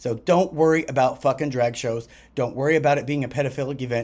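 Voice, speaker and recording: A man's very fast, animated delivery on a very clean recording with a silent background. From Azores Islands, Portugal. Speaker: podcast host. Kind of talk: casual rant monologue.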